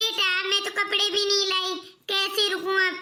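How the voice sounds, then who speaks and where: A woman performs a squeaky, cartoonish character voice at an extremely high pitch. She speaks at a moderate pace with monotone, flat intonation. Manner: soft, wistful.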